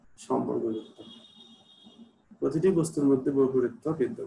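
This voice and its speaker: A man is speaking, somewhat breathy. His pitch varies in an ordinary way. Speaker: political science teacher. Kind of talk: lecture. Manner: hesitant, many fillers.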